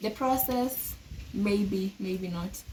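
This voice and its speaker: A woman's voice over noticeable background noise. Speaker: law student vlogger. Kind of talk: casual monologue to camera. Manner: hesitant, many filler sounds.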